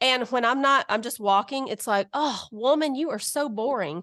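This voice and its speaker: Against a quiet background, a woman with a Southern US accent and a high pitch talks at a moderate pace in an animated tone, her intonation lively. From Alabama, US South. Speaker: guest co-host, mother of teens. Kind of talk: casual chat. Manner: animated, laughing.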